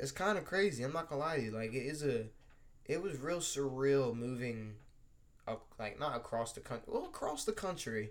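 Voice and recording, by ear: A man speaks at a moderate pace and medium pitch, his voice making big pitch swings.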